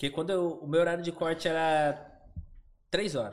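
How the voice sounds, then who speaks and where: A man is speaking. His pace is moderate. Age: 30s. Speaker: online seller. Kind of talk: casual chat.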